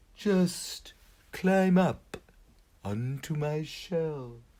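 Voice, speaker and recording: A man puts on a character voice at a fairly high pitch. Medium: read story. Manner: calm, kind.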